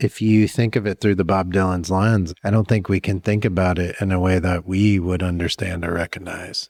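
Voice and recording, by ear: In a dry, close recording with no echo, a man speaks at a low pitch with vocal fry, a slightly mellow tone, a moderate pace and little pitch movement.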